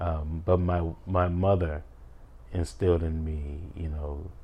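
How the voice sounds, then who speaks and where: With an American accent, a man talks in a somewhat breathy, dark, mellow tone with ordinary pitch variation. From Chicago, US Midwest. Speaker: singer-songwriter and podcast host. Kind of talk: interview.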